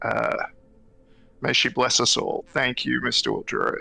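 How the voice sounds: A man speaks with vocal fry and a bright, sharp tone.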